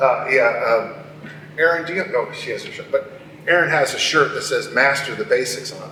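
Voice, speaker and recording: A man with big swings in loudness, noticeable background noise and audible room echo. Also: moderate pace. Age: 60s. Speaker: strength coach. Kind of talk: conference talk. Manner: animated.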